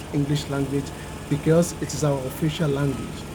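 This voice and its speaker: Man with a Nigerian accent at a moderate pace, noticeable background noise behind him. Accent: Nigerian (Yoruba) English. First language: Yoruba. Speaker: YouTuber. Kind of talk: educational vlog talk.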